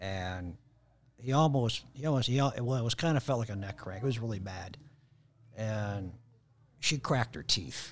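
This man talks with long, frequent pauses. He has a Chicago accent. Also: medium pitch for a man, ordinary pitch variation, moderate pace. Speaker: jiu-jitsu practitioner. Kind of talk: casual chat. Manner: halting.

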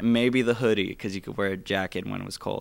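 An unremarkable speaking voice with an American accent moves at a fairly quick pace with ordinary pitch variation, in a very clean recording with a silent background. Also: man. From Phoenix, Arizona. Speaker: vintage clothing store owner. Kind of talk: casual chat.

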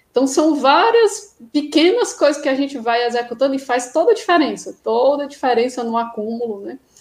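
Her high-pitched voice swings very widely in pitch as the woman talks at a moderate pace with hardly any pauses. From Ceará, Brazil. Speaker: nurse and acupuncturist, miles collector. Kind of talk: interview on live stream.

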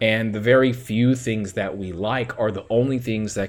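An animated tone at a moderate pace over noticeable background noise. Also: man. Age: 30s. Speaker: podcast host. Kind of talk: solo commentary monologue.

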